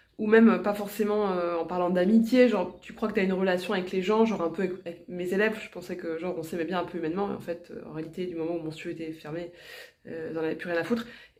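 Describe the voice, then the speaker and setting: With audible room echo, a woman speaks at a very fast pace and fairly even intonation. Her loudness swings widely. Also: medium pitch for a woman. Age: 40s. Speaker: vlogger. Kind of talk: vlog monologue. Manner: casual, hesitant with fillers.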